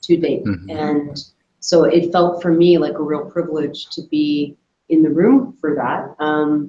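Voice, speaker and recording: Audible room echo colors the sound. The woman speaking has a very deep, low pitch. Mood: reflective, earnest. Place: meeting room. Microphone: video call.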